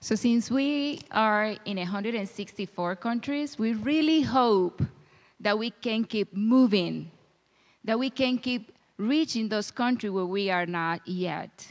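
The speaker talks at a very slow pace in a Spanish accent, with ordinary pitch variation. The background is quiet. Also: woman, fairly high pitch for a woman. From Dominican Republic. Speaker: missionary. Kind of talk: church talk. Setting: church with audience.

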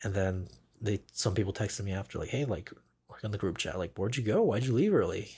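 Talking at a very fast clip, a man with a fairly low pitch and a dark, mellow, somewhat breathy voice takes a playful tone on a very clean recording with a silent background. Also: ordinary pitch variation. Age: 20s. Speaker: podcast host, camera assistant. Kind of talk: casual chat. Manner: joking, playful.

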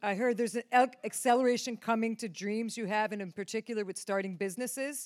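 With an American accent, a woman with a fairly high pitch talks very fast with hardly any pauses and fairly even intonation, the sound dry and close with no echo. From upstate New York. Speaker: ministry team member. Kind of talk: prophetic words. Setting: church stage with audience.

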